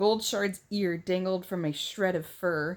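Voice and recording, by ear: The intonation is fairly even. Text is read aloud in a natural voice.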